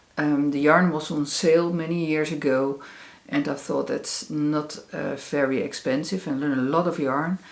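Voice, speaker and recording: In a Dutch accent, a woman with a very deep, low voice speaks at a fairly slow pace. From Netherlands. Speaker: crafts podcaster. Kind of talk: casual chat. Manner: hesitant, many fillers.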